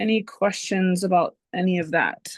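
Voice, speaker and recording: A woman's voice comes across as strained, with ordinary pitch variation, in a dry, close recording with no echo and a quiet background. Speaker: course instructor. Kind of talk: lecture. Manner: restrained volume; casual, filler-heavy.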